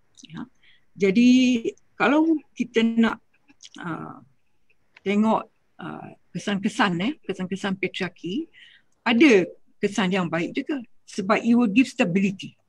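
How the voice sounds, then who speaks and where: Speaking fairly slowly with long, frequent pauses, a woman uses a medium-pitched, somewhat breathy voice with lively intonation and big swings in loudness, recorded dry with no echo against a quiet background. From Malaysia, Kedah; Malaysia. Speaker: intercultural consultant; speaker. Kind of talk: panel discussion. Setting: video call. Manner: halting. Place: home room. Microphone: video call.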